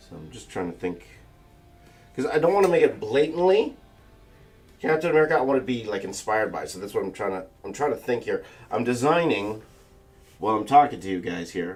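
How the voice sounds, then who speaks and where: With music in the background, a man mumbles through long, frequent pauses, his pitch swinging very widely. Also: medium pitch for a man, fairly quick pace. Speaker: artist livestreaming a drawing session. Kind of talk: live stream chat while drawing. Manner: mumbling; casual, halting with repetitions.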